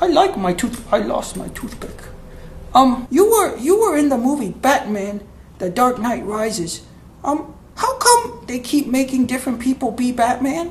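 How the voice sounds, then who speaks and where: In a cartoonish character voice, a man speaks at an extremely high pitch and a moderate pace over clear background noise. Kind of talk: comedic puppet interview. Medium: puppet.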